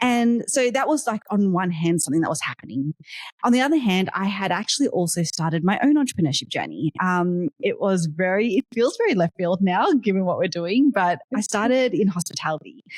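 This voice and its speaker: In an Australian accent, a woman with a medium-pitched, somewhat breathy voice makes very wide pitch swings, recorded with a dry, close sound and no echo. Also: fairly quick pace. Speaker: tech startup founder. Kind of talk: podcast interview. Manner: casual, with frequent fillers.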